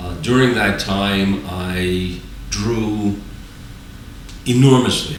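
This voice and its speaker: Speaking at a very slow pace with long, frequent pauses, a man with a fairly low voice is heard amid audible room echo and noticeable background noise. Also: ordinary pitch variation. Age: 60s. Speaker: drawing student. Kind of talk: personal testimony.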